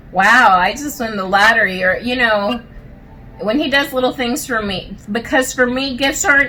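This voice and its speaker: Through noticeable background noise and audible room echo, a woman with a fairly high voice speaks with ordinary pitch variation. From Puerto Rico. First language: Spanish. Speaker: married couple guest. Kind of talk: casual interview. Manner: halting.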